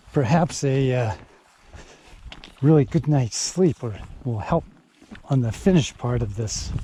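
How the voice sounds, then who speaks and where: A man at a medium pitch pauses long and often, with noticeable background noise behind him. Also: fairly slow pace. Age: 60s. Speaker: hiker and video creator, recently retired. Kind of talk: casual talk to camera while hiking. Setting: outdoors on a trail.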